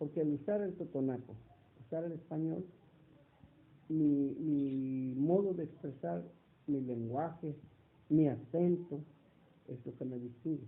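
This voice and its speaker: With long, frequent pauses, a man speaks very slowly at a fairly high pitch. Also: ordinary pitch variation. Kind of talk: interview. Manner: hesitant, many fillers.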